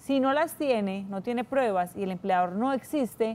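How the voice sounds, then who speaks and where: A woman speaks in an ordinary speaking voice at a fairly high pitch. Her intonation is lively. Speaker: pension and labor lawyer. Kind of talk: TV call-in advice.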